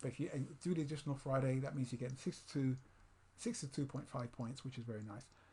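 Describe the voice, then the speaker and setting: The man's voice is somewhat breathy and fairly high, with ordinary pitch variation. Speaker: trading software tutorial presenter. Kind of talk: tutorial. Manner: fast; halting.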